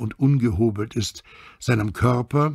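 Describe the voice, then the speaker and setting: Somewhat breathy, a man speaks at a fairly slow pace with lively intonation in a very clean recording with a silent background. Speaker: actor and dubbing voice actor. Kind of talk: audiobook reading.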